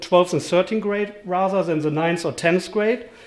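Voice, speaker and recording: A man's high voice with a German accent and ordinary pitch variation, over noticeable background noise. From Germany. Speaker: event host, board treasurer. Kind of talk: event presentation. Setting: live event with audience. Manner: many filler words and hesitations.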